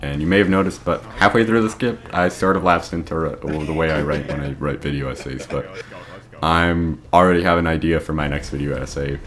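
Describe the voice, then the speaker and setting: Against noticeable background noise, a man with a very deep, low voice talks at a fairly quick pace with ordinary pitch variation. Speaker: gaming YouTuber. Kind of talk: video review monologue; casual outro.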